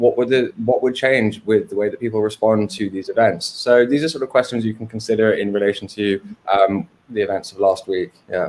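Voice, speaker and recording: A man with an English accent speaks at a fairly quick pace, his medium-pitched voice keeping a fairly even intonation. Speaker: filmmaker. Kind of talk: interview on a livestream. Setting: livestream. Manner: hesitant, many fillers.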